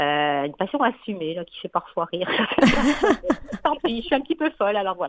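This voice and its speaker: Over noticeable background noise, the voice moves at a moderate pace with very wide pitch swings and big swings in loudness, the sound dry and close with no echo. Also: woman, medium pitch for a woman. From France. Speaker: media relations professional and author. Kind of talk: radio interview.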